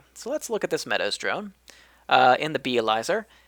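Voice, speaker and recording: At a moderate pace, the speech is captured in a very clean recording with a silent background. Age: 30s. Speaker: gaming video creator. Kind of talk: casual gameplay commentary and tutorial. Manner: casual, frequent fillers and repetitions.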